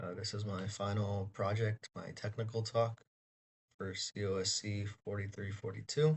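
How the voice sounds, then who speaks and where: This man's voice is fairly low and somewhat breathy. He talks at a moderate pace with fairly even intonation. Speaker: university student. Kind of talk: student presentation. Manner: read from script.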